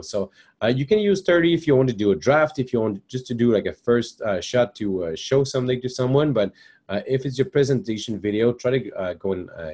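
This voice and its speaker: The tone is dark and mellow, with a French Canadian accent. Delivery is fairly quick, and the intonation is lively. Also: man. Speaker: software trainer. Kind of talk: webinar tutorial. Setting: live webinar. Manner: hesitant, many fillers.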